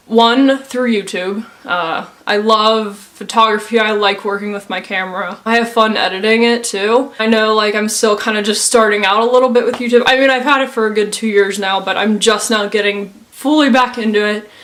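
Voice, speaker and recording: A woman with a fairly high pitch talks at a moderate pace, with fairly even intonation. She hardly pauses, and background noise is noticeable. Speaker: YouTuber. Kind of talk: personal testimony. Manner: casual, hesitant.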